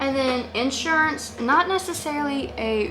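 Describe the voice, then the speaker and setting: A woman's lively intonation carries through noticeable background noise and audible room echo. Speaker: family vlogger. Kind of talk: casual tutorial vlog. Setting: home office, speaking to camera. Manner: rambling, filler-heavy.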